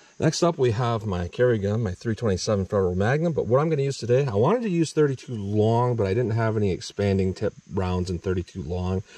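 With a dark, mellow tone and fairly low pitch, a man moves at a fairly quick pace with hardly any pauses, the sound dry with no echo. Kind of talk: tutorial. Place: forest. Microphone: phone near.

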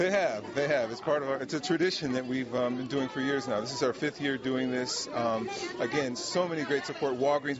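Crowd noise fills the background as a man talks in an American accent, his pitch fairly high for a man. His pace is fairly quick, with ordinary pitch variation and a dry sound with no echo. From Chicago, US. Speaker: car dealership owner. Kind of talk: interview. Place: hall.

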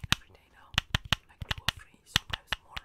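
The speaker is soft-spoken. The pace is fairly quick. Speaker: virtual streamer. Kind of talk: casual stream chat with audience. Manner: soft, close ASMR-style chatting voice.

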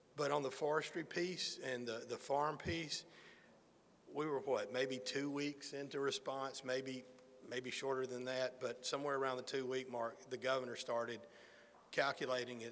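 At a moderate pace, a man speaks with an American accent and fairly even intonation. Light noise sits in the background. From Alabama, US South. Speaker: federal emergency management official. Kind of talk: press conference remarks. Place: hall. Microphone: podium.

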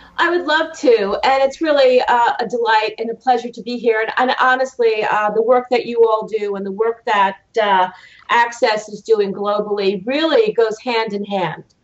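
Here a woman talks at a moderate pace. Her pitch varies in an ordinary way. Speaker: judge, remote guest. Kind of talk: interview answer. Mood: warm, enthusiastic. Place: home room. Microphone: video call.

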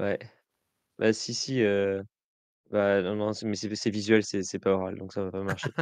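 Against a quiet background, a man speaks at a very slow pace with long, frequent pauses. His fairly low voice is monotone, with flat intonation. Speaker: games journalist. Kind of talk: casual chat.

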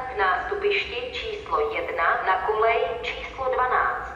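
A woman at a very slow pace, with audible room echo and music in the background. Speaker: announcer voice for station information system. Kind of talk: train station announcement. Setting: PA system.

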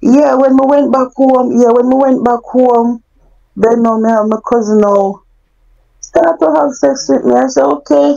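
Speaking with a Jamaican accent at a fairly slow pace, a woman uses a high pitch and a dark, mellow tone, her loudness very even. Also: lively intonation. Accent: Jamaican, Patois-inflected. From Jamaica (Mandeville). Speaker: guest sharing life story. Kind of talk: personal testimony.

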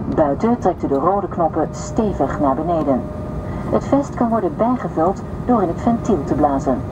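A woman talks at a fairly slow pace while noticeable background noise continues. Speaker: cabin crew announcer. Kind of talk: safety announcement. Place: plane.

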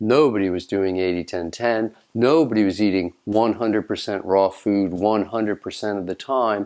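Against a quiet background, a man talks at a fairly low pitch with ordinary pitch variation. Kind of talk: direct-to-camera talk. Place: home room.

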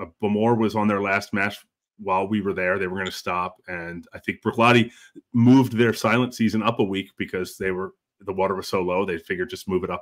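A man with a Pennsylvania accent, fairly low in pitch, at a very fast pace against a quiet background. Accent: American (Pennsylvania). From Pennsylvania, US. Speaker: whisky show host, filmmaker; whisky show host. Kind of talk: casual chat, live stream interview. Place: home room.

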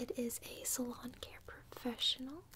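A woman whispers at a fairly slow pace. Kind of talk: role-play salon chat to viewer. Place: home room. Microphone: phone near.

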